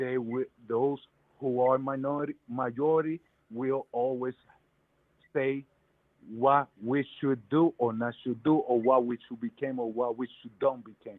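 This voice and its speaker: With a New York accent, a man speaks at a medium pitch in monotone, flat intonation. His pace is fairly slow, with long, frequent pauses. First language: Spanish. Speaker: caller. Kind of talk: heated debate. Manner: halting.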